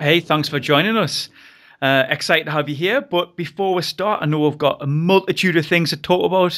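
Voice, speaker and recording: The speaker has a northern English accent and a fairly quick pace, with ordinary pitch variation. The recording is very clean, with a silent background. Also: man, high pitch for a man. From northern England. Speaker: podcast host. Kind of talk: interview.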